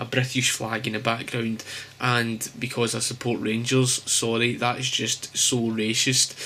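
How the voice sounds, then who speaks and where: A man speaks at a medium pitch and a fairly slow pace, with a Glasgow accent. His intonation is flat and monotone, and there is noticeable background noise. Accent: Scottish, Glasgow. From Scotland. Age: 20s. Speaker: graphic designer. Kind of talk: casual vlog talk to camera.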